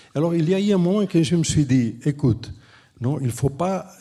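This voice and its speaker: A man speaks at a very slow pace with a dark, mellow tone. His voice is somewhat breathy, and his intonation is lively. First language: Catalan or Spanish (speaking French). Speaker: architect and urban planner, professor. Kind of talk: panel discussion. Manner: halting, with frequent restarts.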